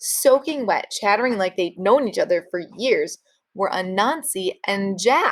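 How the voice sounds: A voice reads naturally. Little or no sound surrounds it.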